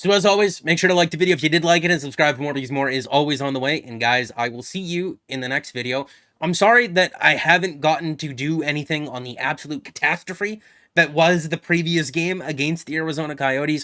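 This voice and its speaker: In a very clean recording with a silent background, a man with a fairly high pitch and a bright, sharp tone talks very fast with ordinary pitch variation. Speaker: sports YouTuber. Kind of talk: casual video commentary. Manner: peppy.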